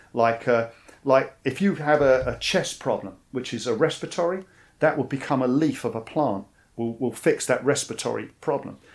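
Speaking at a moderate pace with a London accent, a man uses a medium pitch, ordinary pitch variation and vocal fry, recorded very cleanly against a silent background. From East London, England. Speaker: army veteran. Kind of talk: interview.

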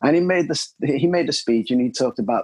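The speaker talks with a Cardiff accent and ordinary pitch variation. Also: man. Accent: Welsh (Cardiff). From Wales, Cardiff. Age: 30s. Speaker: jiu-jitsu practitioner. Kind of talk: interview. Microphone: poor lockdown recording quality.

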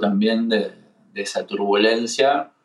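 A man speaks with a Rioplatense accent at a fairly slow pace. His intonation stays monotone and flat. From Argentina, Buenos Aires. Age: 30s. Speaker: singer-songwriter and guitarist. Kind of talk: casual chat.

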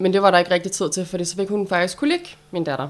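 With a plain, everyday voice, a woman speaks at a medium pitch and a fairly quick pace. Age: 30s. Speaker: debut author. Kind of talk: casual interview.

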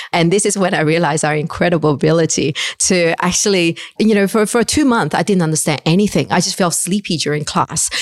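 Speaking very fast, a woman with a Chinese accent holds her loudness very even. Her pitch is fairly low, with ordinary variation. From China. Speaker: fund manager. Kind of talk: interview.

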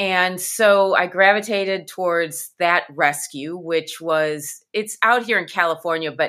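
At a fairly slow pace, a woman uses an ordinary speaking voice at medium pitch with ordinary pitch variation. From US Midwest. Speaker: dog rescue organization leader. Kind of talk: interview.

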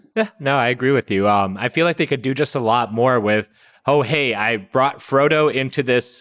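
Simply plain reading aloud.

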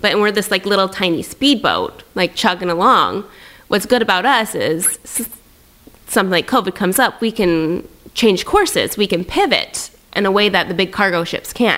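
Speaking with a Pacific Northwest accent, a woman holds a medium pitch. Her pace is moderate. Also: ordinary pitch variation. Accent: American (Pacific Northwest). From US Pacific Northwest, Tri-Cities, Washington. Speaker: entrepreneur and influencer. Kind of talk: casual interview chat.

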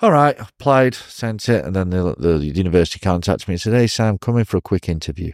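In a very clean recording with a silent background and a dry, close sound with no echo, a man talks very fast in a very deep, low voice, with lively intonation and hardly any pauses. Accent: northern English. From northwest England (Chester area). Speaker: professional wrestler. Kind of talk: casual interview. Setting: recorded live in Shenzhen. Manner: animated.

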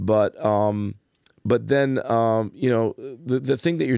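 With a normal speaking voice, a man talks at a moderate pace at a fairly low pitch with lively intonation, on a very clean recording with a silent background. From New Jersey, Passaic. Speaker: gigging musician. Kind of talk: interview.

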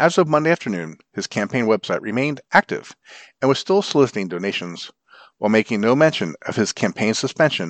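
A man speaks at a fairly quick pace with very wide pitch swings, in a dry, close sound with no echo and a quiet background. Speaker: volunteer newspaper reader. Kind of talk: formal newsreading of print news articles, read aloud for blind listeners. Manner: formal, even, measured newsreader delivery.

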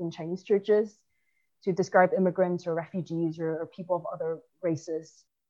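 This woman has a plain, everyday voice at a medium pitch, talking at a moderate pace with fairly even intonation. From China, moved to the US at 10. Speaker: immigration advocate. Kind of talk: interview.

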